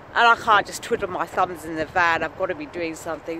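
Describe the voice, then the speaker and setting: Someone speaks in an English accent over noticeable background noise. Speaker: vlogger. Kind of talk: casual vlog. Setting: outdoors, walking to work.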